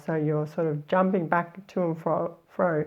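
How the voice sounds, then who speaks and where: Against a quiet background, a woman with an Australian accent talks at a fairly low pitch. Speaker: life story coach, former journalist; life story writing coach. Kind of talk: tutorial. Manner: casual, conversational with fillers. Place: studio. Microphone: lapel.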